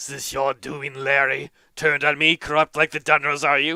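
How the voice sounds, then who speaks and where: In a put-on character voice, a man sounds raspy and gravelly, with a fairly high pitch, monotone, flat intonation and a moderate pace. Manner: angry, accusatory.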